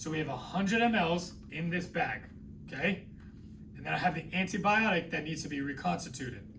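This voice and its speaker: Amid audible room echo, a man with a high voice and a New England accent speaks at a fairly quick pace. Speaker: nursing instructor. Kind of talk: lecture. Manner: conversational.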